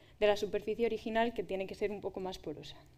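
A woman's dark, mellow tone. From Spain, Valladolid; Spain. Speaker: doctoral researcher in materials science; speaker. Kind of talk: public talk. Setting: stage with audience. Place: stage.

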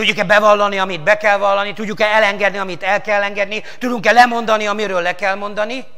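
Over a quiet background, a man with a high pitch projects his raised voice at a very fast pace, hardly pausing and keeping a monotone, flat intonation. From Hungary. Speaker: pastor. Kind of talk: sermon. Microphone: lapel.

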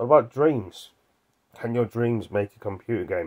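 Moderate pace from a man with a relaxed tone over a quiet background. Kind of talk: casual vlog chat. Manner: drowsy, relaxed voice lying in bed. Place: home room. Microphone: phone near.

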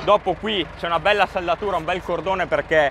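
Noticeable background noise runs under a dry sound with no echo. A man speaks at a fairly quick pace. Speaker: farmer vlogger. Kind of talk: casual vlog explanation. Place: open country. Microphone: phone near.

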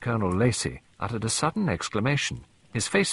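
Plainly read text, lively in its intonation

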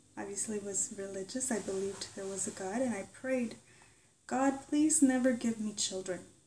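The pitch variation is ordinary. Noticeable background noise runs underneath. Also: woman. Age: 40s. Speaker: YouTuber. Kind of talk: personal vlog monologue.

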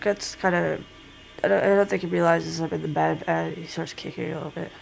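A woman speaks. Faint music plays in the background. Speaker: vlogger. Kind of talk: casual vlog chat. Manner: drowsy, low just-woke-up voice. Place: home room. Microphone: phone near.

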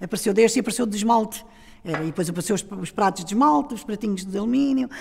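A somewhat breathy woman's voice at a very fast pace with lively intonation. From Portugal, Lisbon area (Almada), Alentejo roots; Portugal. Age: 70s. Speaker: oral history witness; witness. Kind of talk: testimony. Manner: halting.

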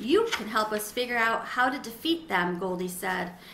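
The voice reads aloud plainly. It is straightforward reading aloud.

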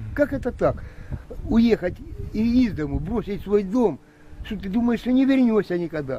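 A man's high-pitched voice with lively intonation and long, frequent pauses. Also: moderate pace. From eastern Ukraine, Donbas (Lysychansk). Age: 60s. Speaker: militia fighter. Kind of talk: interview. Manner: emotional.

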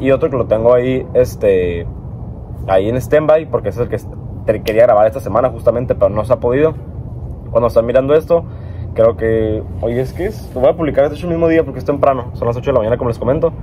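Light background noise sits behind the speaker. A man talks with lively intonation. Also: fairly quick pace. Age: 20s. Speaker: car vlogger, engineering student; car vlogger. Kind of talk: casual vlog monologue. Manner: rambling, hesitant with fillers. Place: garden.

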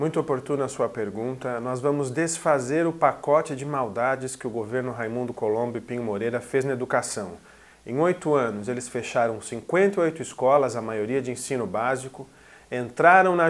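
This man speaks at a moderate pace with a medium pitch and ordinary pitch variation. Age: 30s. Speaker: political candidate; candidate. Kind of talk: radio interview. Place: studio.

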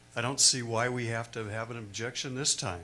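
With an American accent, a man speaks at a medium pitch in a bright, sharp tone, and room echo is audible around him. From California Central Valley, Turlock. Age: 70s. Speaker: public commenter. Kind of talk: public comment at council meeting.

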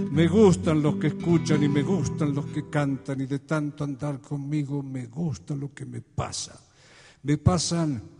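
Faint music plays behind a man with a warm tone and fairly high pitch. He talks at a very slow pace, with long, frequent pauses. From Argentina. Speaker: folk singer-songwriter (troubadour). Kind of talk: live concert monologue with poems and anecdotes; spoken monologue in concert. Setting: live concert before an audience, Quito. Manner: reflective, warm, humorous storytelling. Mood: reflective, storytelling. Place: stage. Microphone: studio mic.

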